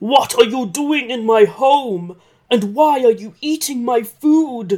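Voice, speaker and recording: Loud and bellowing, a put-on character voice with a fairly high pitch moves at a fairly slow pace. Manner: angry, demanding.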